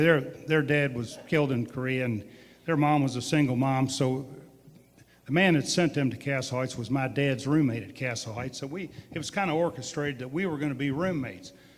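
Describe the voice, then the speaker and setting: A man talks at a fairly quick pace. His pitch is fairly high, with ordinary pitch variation. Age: 60s. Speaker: distillery owner. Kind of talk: storytelling at a live public event. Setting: museum event with live audience. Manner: animated.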